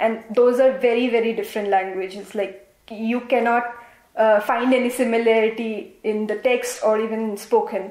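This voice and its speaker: With an Assam accent, a woman speaks at a moderate pace in a fairly high pitch and a monotone, flat intonation. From India, Assam. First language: Assamese. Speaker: interviewee, engineer. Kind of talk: interview.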